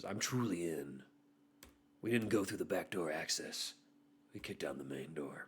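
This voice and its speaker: In a put-on character voice with a very deep, low pitch, a man speaks at a moderate pace in a serious, dramatic tone, leaving long, frequent pauses. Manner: mock-serious, dramatic.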